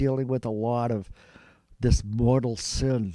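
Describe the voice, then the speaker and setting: A man with an American accent at a moderate pace, over noticeable background noise. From Massachusetts, Lowell. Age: 80s+. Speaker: psychiatric nurse. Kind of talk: interview.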